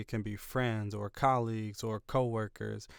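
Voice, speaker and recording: A man with a medium-pitched voice is heard in a very clean recording against a silent background. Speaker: motivational YouTuber. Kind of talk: motivational talk. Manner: fast; animated.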